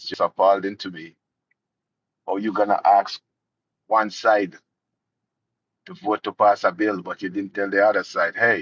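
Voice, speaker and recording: A man talks at a moderate pace with long, frequent pauses and big swings in loudness. The sound is dry and close with no echo. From Jamaica. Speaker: political commentary youtuber. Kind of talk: live stream commentary.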